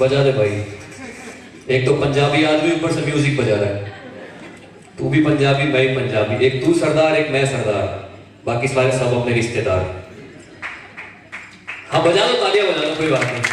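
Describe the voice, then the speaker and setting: Against noticeable background noise, a man speaks in a fairly high pitch with an energetic tone. His pitch variation is ordinary, and he leaves long, frequent pauses. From Rajasthan, India. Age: 20s. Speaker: event anchor and motivational speaker. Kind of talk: live stage motivational talk with audience interaction. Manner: energetic, humorous.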